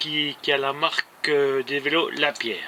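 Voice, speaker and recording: A man at a very slow pace, against noticeable background noise. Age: 70s. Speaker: amateur cyclist and runner vlogger. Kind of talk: casual vlog monologue. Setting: indoors in a greenhouse, rain on roof. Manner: halting, many hesitations.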